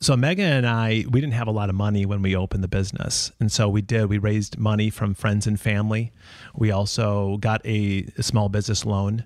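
With an American accent, a man speaks at a fairly quick pace in a fairly low voice, with fairly even intonation and very even loudness: a plain, everyday voice. The recording is very clean, with a silent background. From Minnesota. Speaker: retail entrepreneur, co-founder. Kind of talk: casual interview.

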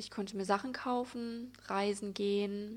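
This woman talks fairly slowly with a fairly high pitch and a flat, monotone intonation. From Germany, Sauerland (Altena). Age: 20s. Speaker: podcaster, spiritual and yoga coach. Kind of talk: personal monologue podcast.

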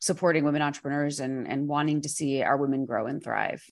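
Against a quiet background, a woman with an American accent speaks in a very deep, low pitch. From New York. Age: 40s. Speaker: CEO of a women entrepreneurs organization. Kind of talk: interview.

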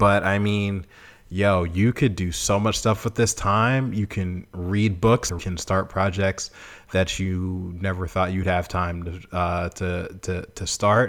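The speaker has an American accent and fairly even intonation. The pace is very slow. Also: man, very deep, low pitch for a man. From Boston, US. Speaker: podcast host and sportswriter. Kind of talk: casual motivational monologue.

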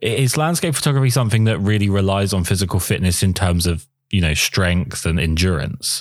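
Lively intonation in a southern English accent moves at a fairly quick pace with hardly any pauses and very even loudness on a very clean recording with a silent background. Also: man, fairly low pitch for a man. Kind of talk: casual interview.

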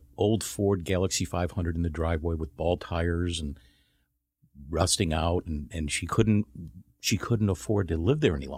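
A man's very deep, low, somewhat breathy voice with ordinary pitch variation, in a very clean recording with a silent background. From Chicago, US Midwest. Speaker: reverse mortgage professional. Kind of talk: radio interview.

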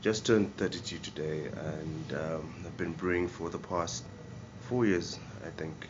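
Music plays behind the speaker, and the room echo is audible. Pitch varies in an ordinary way, and the pace is moderate. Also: man. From Zimbabwe. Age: 30s. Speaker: brewer. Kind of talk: casual interview; guided tour. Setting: brew pub. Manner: halting, with many fillers.

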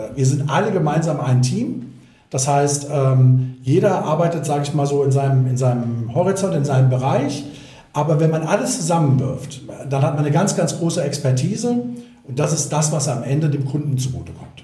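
A man speaks at a moderate pace with a fairly high pitch and ordinary pitch variation. There's audible room echo and noticeable background noise. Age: 50s. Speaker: mortgage platform regional manager. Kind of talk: podcast interview.

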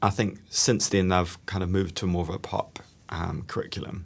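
In a New Zealand accent, a man speaks with a very deep, low pitch. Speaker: guitarist and online music creator. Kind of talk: casual interview chat. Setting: rehearsal space. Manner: calm, relaxed.

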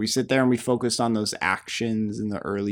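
At a moderate pace, a man talks in a plain, everyday voice, fairly low in pitch with ordinary pitch variation. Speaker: podcast co-host. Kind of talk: casual chat. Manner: casual, filler-heavy.

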